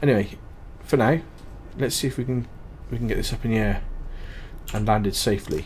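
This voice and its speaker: A man speaking at a fairly quick pace. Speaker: gaming YouTuber. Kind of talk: gameplay commentary. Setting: home recording at night. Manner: casual, hesitant with fillers; quiet, low-volume talk.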